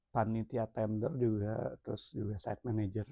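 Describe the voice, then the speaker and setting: A man speaks at a very slow pace in a dark, mellow tone, the sound dry and close with no echo. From Jakarta, Indonesia. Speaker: entrepreneur vlogger. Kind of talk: casual self-introduction vlog. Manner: relaxed, casual; hesitant, many fillers.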